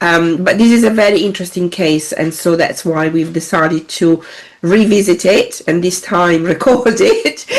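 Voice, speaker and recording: Against noticeable background noise, a woman speaks fairly slowly in a fairly low pitch with ordinary pitch variation. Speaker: data protection consultant, podcast co-host. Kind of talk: casual discussion podcast. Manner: halting, many fillers.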